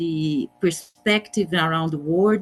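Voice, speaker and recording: The pace is very slow. The speaker has a Portuguese accent. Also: woman. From Brazil. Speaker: judge. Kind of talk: conference presentation. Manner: halting.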